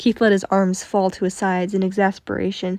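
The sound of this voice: Reading in an unforced voice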